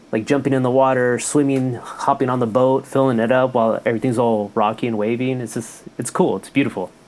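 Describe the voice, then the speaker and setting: Against noticeable background noise, a man talks at medium pitch and a fairly quick pace with hardly any pauses and fairly even intonation. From California, Mexican family from Jalisco. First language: Spanish. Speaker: health worker. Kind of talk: casual chat.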